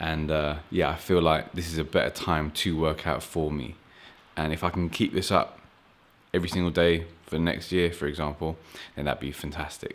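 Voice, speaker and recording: A man speaks at a moderate pace in a very deep, low voice. His intonation is monotone and flat. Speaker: fitness vlogger. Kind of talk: casual vlog chat. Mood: relaxed, joking. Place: garage. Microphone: phone near.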